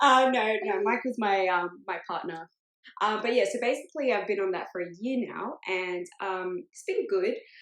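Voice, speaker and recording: A woman's fairly high voice with an Australian accent, ordinary pitch variation, big swings in loudness and a moderate pace. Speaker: podcast co-host. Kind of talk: casual chat.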